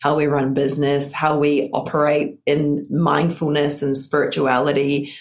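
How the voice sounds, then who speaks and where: A woman with a New Zealand accent and a very deep, low pitch. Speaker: business and mindset coach. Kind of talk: interview testimony. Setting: video call.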